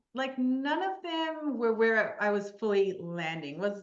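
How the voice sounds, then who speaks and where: Very slowly, a woman speaks with very wide pitch swings and audible room echo around her. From New Zealand. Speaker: mental performance coach. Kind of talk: podcast interview. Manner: hesitant, many fillers.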